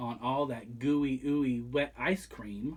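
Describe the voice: A slow delivery with a slightly husky edge, a slightly mellow tone and ordinary pitch variation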